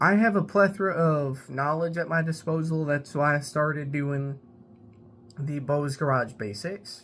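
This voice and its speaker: With an American accent, a man talks at a fairly slow pace in a fairly high pitch, using ordinary pitch variation. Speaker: car repair YouTuber. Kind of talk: casual vlog monologue. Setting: at home in apartment. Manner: casual, rambling with repeated words.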